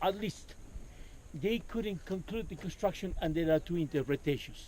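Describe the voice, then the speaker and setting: A man's high, dark and mellow voice in an Andean accent. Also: ordinary pitch variation, moderate pace. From Peru, Cusco. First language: Quechua. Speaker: tour guide. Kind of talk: guided tour talk. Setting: outdoors.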